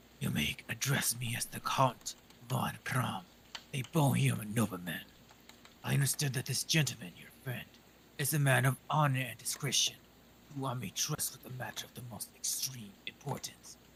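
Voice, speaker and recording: A put-on character voice at a moderate pace, with ordinary pitch variation and big swings in loudness. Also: man, medium pitch for a man. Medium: virtual streamer. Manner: formal, haughty.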